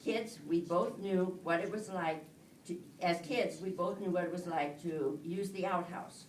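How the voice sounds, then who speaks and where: Someone talks at a fairly slow pace with fairly even intonation, amid audible room echo and noticeable background noise. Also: woman. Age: old. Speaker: married woman giving testimony, retired nurse. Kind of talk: testimony. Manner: halting.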